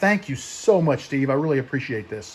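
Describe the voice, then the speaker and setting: A man with an American accent speaks at a fairly quick pace, his fairly high, somewhat breathy voice showing ordinary pitch variation. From US Midwest. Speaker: woodturning YouTuber. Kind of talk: casual vlog show-and-tell. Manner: fast talker; enthusiastic.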